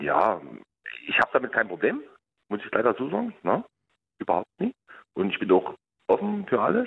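Pausing long and often, a man speaks at a moderate pace. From outskirts of Dresden, Saxony. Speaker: caller. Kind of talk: phone-in conversation.

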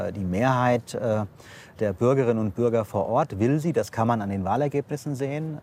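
Here is an unremarkable speaking voice from a man at medium pitch. He keeps a moderate pace with ordinary pitch variation. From Hesse, Offenbach. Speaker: state government minister. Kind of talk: political interview. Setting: outdoors at a railway construction site.

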